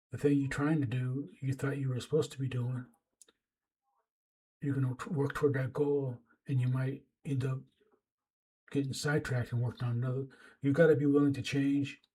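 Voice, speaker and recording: At a fairly quick pace broken by long, frequent pauses, a man speaks in a fairly high, somewhat breathy voice with a dark, mellow tone and monotone, flat intonation. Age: 60s. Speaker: writer and YouTuber giving life advice. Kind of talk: advice monologue to camera. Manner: halting, repeats words; casual, conversational.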